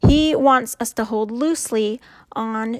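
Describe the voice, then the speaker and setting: Pitched fairly high, a woman talks in a plain, everyday voice with ordinary pitch variation. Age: 30s. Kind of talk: faith talk monologue. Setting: home recording at night. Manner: casual.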